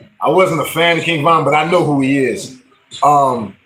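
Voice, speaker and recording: There is noticeable background noise. A man talks in an animated tone. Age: 40s. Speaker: music livestreamer and rapper. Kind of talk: casual livestream talk. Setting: livestream.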